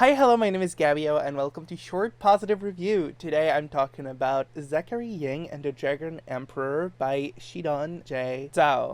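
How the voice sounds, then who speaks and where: The speech runs at a moderate pace with hardly any pauses. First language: not English. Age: adult. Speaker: book reviewer. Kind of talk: casual video review. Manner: conversational with hesitations.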